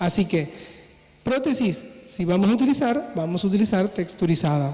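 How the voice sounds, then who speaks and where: This man has a high pitch. His intonation is lively. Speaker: plastic surgeon / doctor. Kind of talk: conference lecture. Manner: fast.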